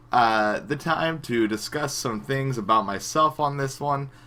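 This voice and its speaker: A man with an American accent speaks at a moderate pace, his medium pitch carrying a bright, sharp tone and ordinary pitch variation. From US Midwest, Springfield, Missouri. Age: 20s. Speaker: YouTuber, gaming vlogger. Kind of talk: casual vlog to camera. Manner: casual with many filler uhs.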